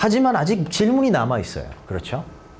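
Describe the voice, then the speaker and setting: A man's pitch swings very widely as he talks in a space with audible room echo. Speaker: SAT tutor. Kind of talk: lecture.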